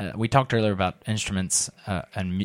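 A man with an ordinary speaking voice and fairly low pitch talks at a moderate pace in a very clean recording with a silent background and a dry, close sound with no echo. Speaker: podcast host and interviewer. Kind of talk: interview.

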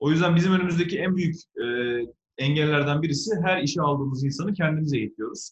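At a very fast pace, a man talks in a fairly high pitch. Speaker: electric car entrepreneur. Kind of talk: interview. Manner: animated. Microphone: phone through an analog speaker.

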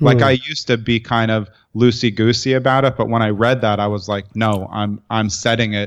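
A man with an ordinary speaking voice and an American accent, medium in pitch, with fairly even intonation against a quiet background. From New York, Brooklyn. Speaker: entrepreneur and writer. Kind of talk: interview conversation.

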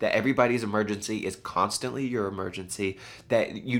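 A man's fairly low voice rushes along at a very fast pace. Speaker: podcast host on leadership. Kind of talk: solo monologue podcast. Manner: casual, conversational with filler words.

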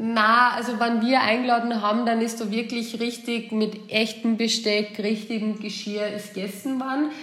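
A woman with an Austrian accent at a fairly high pitch, monotone and flat, at a fairly slow pace with hardly any pauses, amid audible room echo and noticeable background noise. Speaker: returned expat. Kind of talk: casual chat. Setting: remote call.

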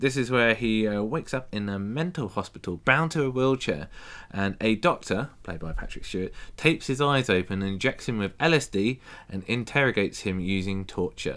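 Captured in a very clean recording with a silent background, a man in an ordinary speaking voice talks at a fairly quick pace in a medium pitch with lively intonation. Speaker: podcast host. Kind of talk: casual chat. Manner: joking.

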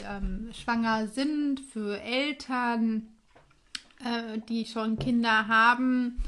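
This woman speaks at a very slow pace. Her pitch is high. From Hesse, Germany (Reichelsheim). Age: 30s. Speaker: podcast co-host. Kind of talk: casual chat.

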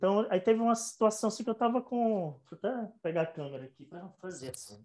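This man has a high voice, ordinary pitch variation and a moderate pace. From Bahia, Brazil. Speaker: photographer. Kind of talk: casual chat.

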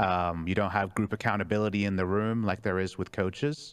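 A man talks in a plain, everyday voice. His pitch is fairly low and his pace moderate. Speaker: esports team coach or analyst guest. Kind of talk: casual chat. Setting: live stream.

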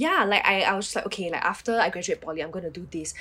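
At a very fast pace, a woman with a medium pitch and ordinary pitch variation speaks over noticeable background noise. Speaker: nurse. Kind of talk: casual chat. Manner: casual with many fillers.

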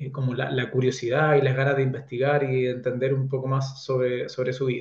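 Fairly quick in pace, a man talks in a somewhat breathy, fairly high voice. His tone is dark and mellow. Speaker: author. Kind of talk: interview.

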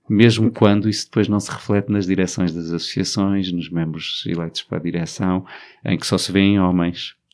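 In a very clean recording with a silent background, a man speaks at a moderate pace with a very deep, low pitch and fairly even intonation. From Portugal, Alentejo. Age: 40s. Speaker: LGBT activist. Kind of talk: interview.

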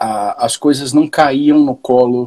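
The voice has a dark, mellow tone and fairly even intonation, heard in a dry, close sound with no echo. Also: man. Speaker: rock band vocalist. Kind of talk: casual chat. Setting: live stream.

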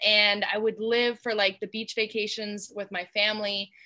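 A woman with an American accent speaks at a moderate pace in a bright, sharp tone. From US South, Georgia. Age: 20s. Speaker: shark diver and photographer. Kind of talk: casual interview chat. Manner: animated.

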